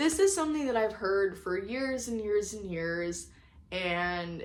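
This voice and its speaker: A woman speaks at a medium pitch with lively intonation. Audible room echo can be heard. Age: 20s. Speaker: lifestyle vlogger. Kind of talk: personal reflection monologue. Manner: casual conversational.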